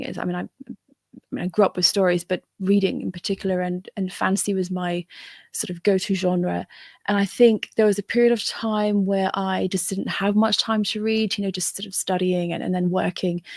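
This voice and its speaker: A woman at a medium pitch and moderate pace, monotone and flat, in a dry, close sound with no echo on a very clean recording with a silent background. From Syria, moved to UK as a child. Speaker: fantasy author. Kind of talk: interview. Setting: live stream. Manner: halting, many restarts.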